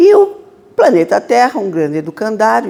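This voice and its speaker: A woman talks at a moderate pace. Behind her runs noticeable background noise. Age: 60s. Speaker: spiritist lecturer. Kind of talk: lecture. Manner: casual, conversational.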